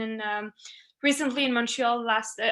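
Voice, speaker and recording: A woman's very fast speech with a French accent, fairly high in pitch, bright and sharp in tone. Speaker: family medicine resident. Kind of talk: webinar presentation. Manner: halting, many fillers.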